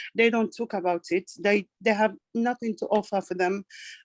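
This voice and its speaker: A woman with a non-native accent speaks at a moderate pace. Her fairly high voice shows ordinary pitch variation, in a dry, close sound with no echo. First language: not English. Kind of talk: online group discussion. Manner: halting.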